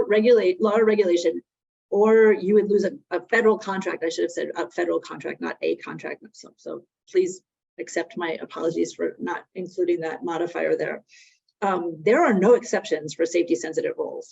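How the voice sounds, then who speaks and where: A woman with an American accent speaks at a fairly quick pace, her pitch swinging very widely. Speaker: webinar presenter on workplace drug policy. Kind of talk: webinar presentation. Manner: conversational with frequent fillers.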